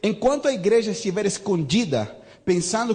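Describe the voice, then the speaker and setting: A man's high voice at a moderate pace, with audible room echo and noticeable background noise. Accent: slight non-native. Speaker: visiting pastor. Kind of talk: sermon. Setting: church service. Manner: animated.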